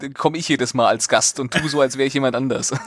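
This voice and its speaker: A man talks in a central Hessian accent. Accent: central Hessian dialect, slightly rolled R. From central Hesse, Germany. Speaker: podcast co-host. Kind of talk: casual comedic news talk.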